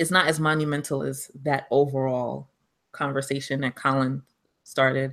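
With a New York accent, the voice has a bright, sharp tone. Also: woman. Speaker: podcast co-host. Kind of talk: casual chat.

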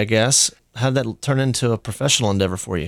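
Intonation rises and falls in a lively way as this man speaks. He goes at a very fast pace. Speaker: interviewer, food and drink enthusiast. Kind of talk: casual interview. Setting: live event on campus.

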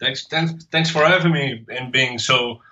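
A man speaks with a Portuguese accent. His intonation stays fairly even. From Portugal. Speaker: comics artist. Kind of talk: interview. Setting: remote call. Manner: halting.

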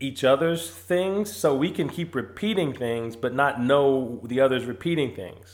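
A man has a normal speaking voice at a medium pitch. He talks at a fairly slow pace with lively intonation. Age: 40s. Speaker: sports podcast host. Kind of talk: casual chat.

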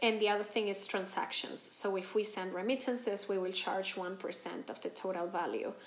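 In a Spanish accent, a woman of medium pitch talks at a moderate pace with hardly any pauses and fairly even intonation, amid audible room echo and noticeable background noise. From Venezuela. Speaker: company founder. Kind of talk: interview.

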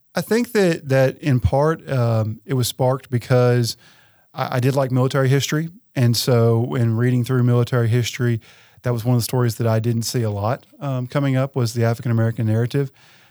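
A man's voice with a dark, mellow tone and fairly even intonation, on a very clean recording against a silent background. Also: medium pitch for a man, fairly quick pace. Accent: Tennessee. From West Tennessee. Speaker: university administrator and historian. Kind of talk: interview.

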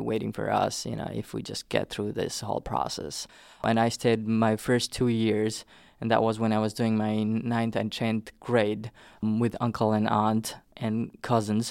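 On a very clean recording with a silent background, a man speaks with a Nepali accent. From southern Nepal. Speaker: immigrant interviewee. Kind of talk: oral history interview.

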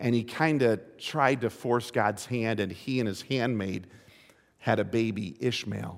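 A man talks at a medium pitch with vocal fry. His pace is fairly slow, with ordinary pitch variation. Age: 50s. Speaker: pastor. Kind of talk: sermon. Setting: church.

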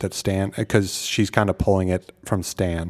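A man with a Midwestern American accent and a fairly low pitch speaks at a fairly slow pace in a very clean recording with a silent background and a dry, close sound with no echo. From US Midwest. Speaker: film podcast co-host. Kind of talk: casual chat.

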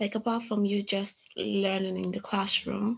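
Fairly slow speech from a woman at a medium pitch. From Nigeria. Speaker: postgraduate student. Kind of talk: interview.

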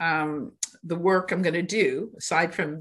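In a plain, everyday voice, a woman speaks with a fairly low pitch and fairly even intonation. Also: quiet background. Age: 60s. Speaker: district attorney. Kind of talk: casual interview.

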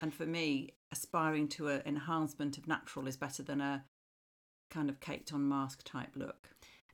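A woman speaks with a British accent in a very deep, low pitch. Her intonation is monotone and flat. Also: moderate pace. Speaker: marketing professional. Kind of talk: casual chat.

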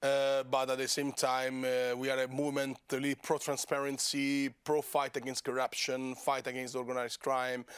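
With an Italian accent, a man speaks in a monotone, flat intonation with hardly any pauses, in a very clean recording with a silent background. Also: medium pitch for a man, moderate pace. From Italy, Rome. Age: 30s. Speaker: member of European Parliament. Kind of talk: casual interview.

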